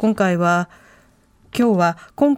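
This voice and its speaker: Dry and close with no echo, a woman speaks at a very slow pace in a dark, mellow tone. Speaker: radio announcer, co-host. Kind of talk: news reading and guest introductions. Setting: radio studio. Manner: formal.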